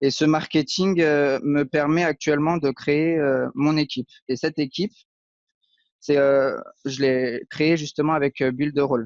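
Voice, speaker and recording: A man speaks at a fairly slow pace with very even loudness. His pitch sits fairly high, and his intonation stays fairly even. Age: 30s. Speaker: aspiring web marketer, unemployed IT technician. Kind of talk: interview. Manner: hesitant, many fillers.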